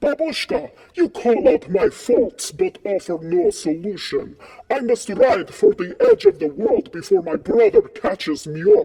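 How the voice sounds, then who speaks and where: A man uses a put-on character voice at an extremely high pitch. He speaks at a moderate pace with very wide pitch swings. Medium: game stream.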